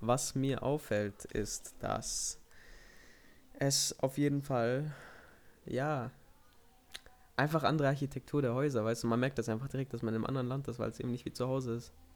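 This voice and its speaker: Moderate pace, fairly even intonation, and long, frequent pauses on a very clean recording with a silent background. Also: man, medium pitch for a man. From Kornwestheim, Swabia, southern Germany. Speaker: podcast host. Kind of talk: casual chat.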